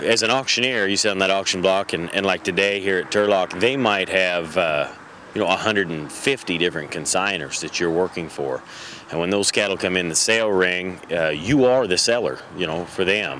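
A man with an American accent talks at a fairly quick pace in a very deep, low pitch with ordinary pitch variation. The sound is dry with no echo, over light background noise. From United States. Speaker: livestock auction industry representative. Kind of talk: interview answer. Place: street.

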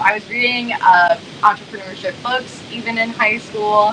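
A woman speaks with fairly even intonation. Noticeable background noise runs behind her. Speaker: guest. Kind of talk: interview answer. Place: home room. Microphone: video call.

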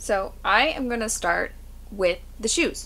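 Her tone is bright and sharp. This woman's intonation is lively. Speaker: thrift reseller. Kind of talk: casual vlog chat. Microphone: camera far.

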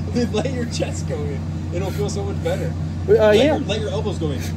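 A man talks at a very fast pace. Crowd noise fills the background. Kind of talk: coaching instructions. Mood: jokey, encouraging. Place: garden. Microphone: phone near.

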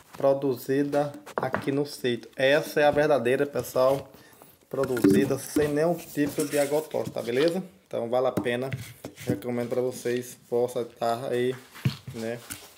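A man speaks with fairly even intonation at a moderate pace. Noticeable background noise can be heard. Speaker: small farmer vlogger. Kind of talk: casual vlog chat. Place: home room. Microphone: phone near.

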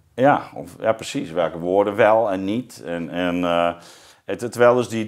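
A man talks fairly slowly, with a quiet background. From Zeeuws-Vlaanderen, southern Netherlands; Netherlands. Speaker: podcast host, philosopher; podcast host. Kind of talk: interview conversation. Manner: halting, many fillers. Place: studio. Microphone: lapel.

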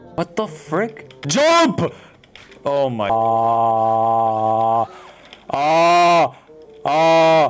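Music plays in the background as a man with a fairly high voice speaks very slowly, with long, frequent pauses and lively intonation. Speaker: gamer. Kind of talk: gameplay commentary. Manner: loud, screaming.

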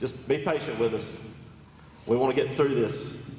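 A man speaks with an American accent. Audible room echo and noticeable background noise are present. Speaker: county commission chairman. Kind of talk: public meeting chairing. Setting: public meeting hall with PA speakers. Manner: loud.

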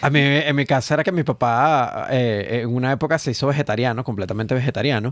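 Dry sound with no echo carries a man's medium-pitched voice at a fairly quick pace with ordinary pitch variation. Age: 30s. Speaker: comedian. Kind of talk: casual chat. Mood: humorous, relaxed storytelling. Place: studio. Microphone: studio mic.

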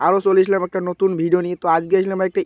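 This man's voice sits high in pitch. The sound is dry and close, with no echo. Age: young. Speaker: vlogger. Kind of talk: casual vlog narration. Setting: outdoors at a crowded school event. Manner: animated.

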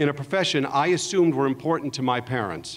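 A man with an American accent, fairly quick and with lively intonation. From Los Angeles, San Fernando Valley; California. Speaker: entertainment executive; speaker. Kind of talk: commencement speech. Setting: stage with audience. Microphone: podium.

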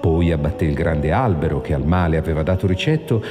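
Music plays in the background. A man is speaking. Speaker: narrator. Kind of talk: movie trailer narration.

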